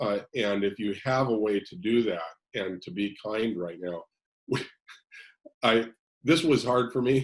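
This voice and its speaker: At a fairly slow pace, a man with a plain, everyday voice speaks fairly low in pitch with ordinary pitch variation. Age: 60s. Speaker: counselor. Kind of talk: casual chat.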